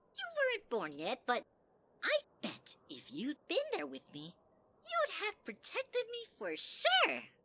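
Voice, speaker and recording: A put-on character voice with long, frequent pauses. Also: fairly slow pace. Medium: audio drama. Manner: sugary, manipulative.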